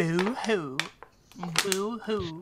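Someone uses a put-on character voice pitched in the middle range. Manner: mournful, droopy.

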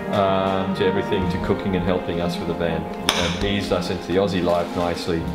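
Someone talks at a very fast pace while loud music plays in the background. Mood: warm, grateful. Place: home room. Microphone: camera far.

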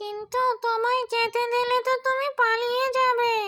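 In a cartoonish character voice, the speaker goes at a fairly slow pace with an extremely high pitch and monotone, flat intonation. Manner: menacing, boastful.

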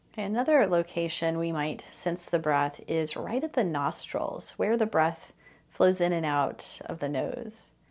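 Using a normal speaking voice, a woman talks at a fairly slow pace. Her fairly low pitch moves with lively intonation. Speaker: meditation teacher. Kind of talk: guided meditation, gentle spoken instructions with pauses for practice. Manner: slow, soft-spoken and soothing, inviting curiosity; calm, unhurried cues with long silences between phrases.

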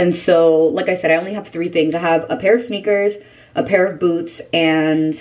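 A woman with an ordinary speaking voice talks at a moderate pace in a fairly low pitch with ordinary pitch variation, over light background noise. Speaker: beauty vlogger. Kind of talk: casual vlog chat. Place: home room. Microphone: camera far.

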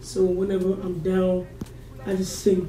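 Clear music plays in the background. The room echo is audible. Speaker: interview guest. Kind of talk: interview answer. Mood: reflective, personal story. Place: studio.

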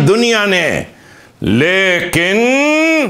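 The background stays quiet. Here a man talks in a raised, projected voice. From Pakistan, Khyber Pakhtunkhwa. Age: 60s. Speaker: religious commentator. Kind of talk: lecture. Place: studio. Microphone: lapel.

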